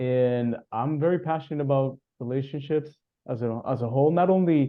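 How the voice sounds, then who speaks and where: This man's voice is fairly high in pitch, with ordinary pitch variation. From Cuba (Havana). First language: Spanish. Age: 30s. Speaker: relationship coach. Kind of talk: interview conversation.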